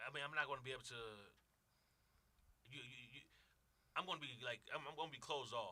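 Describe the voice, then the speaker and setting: A man with a Brooklyn accent, a bright, sharp tone and medium pitch, talking at a very fast pace between long, frequent pauses. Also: ordinary pitch variation, big swings in loudness. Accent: New York (Brooklyn). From New York, Brooklyn. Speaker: radio show guest. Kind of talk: casual chat. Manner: excited, comes off as yelling.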